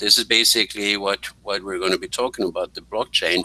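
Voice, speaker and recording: Noticeable background noise behind a man's dry, close voice with no echo. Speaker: business presenter. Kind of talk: presentation. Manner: fast.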